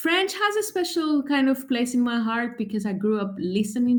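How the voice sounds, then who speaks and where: With some breathiness in her voice, a woman talks at a moderate pace. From Greece. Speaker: translator and travel writer. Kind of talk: interview.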